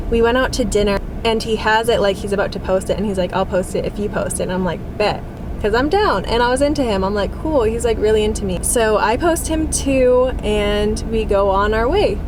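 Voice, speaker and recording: Fairly high-pitched woman at a fairly quick pace, ordinary pitch variation, noticeable background noise. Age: 20s. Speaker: single mom vlogger. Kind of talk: casual storytime talk to camera.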